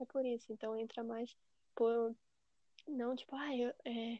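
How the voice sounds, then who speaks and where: The woman's pitch is high. She talks at a fairly slow pace. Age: 20s. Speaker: podcast guest. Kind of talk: casual chat.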